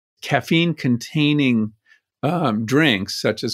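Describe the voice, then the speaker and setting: A man speaks fairly slowly in a normal speaking voice with lively intonation, on a very clean recording with a silent background. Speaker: exercise expert. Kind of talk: interview clip.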